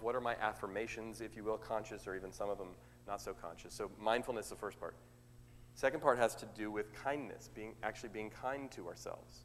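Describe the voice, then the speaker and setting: A man speaks at a very fast pace with an American accent. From US West Coast, Oakland, California. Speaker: motivational speaker. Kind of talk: sermon. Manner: extemporaneous, conversational.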